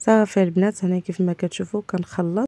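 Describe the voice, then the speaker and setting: Fairly even intonation runs through speech with a dark, mellow tone. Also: woman. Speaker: home cooking vlogger. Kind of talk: cooking tutorial. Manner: casual, frequent hesitations.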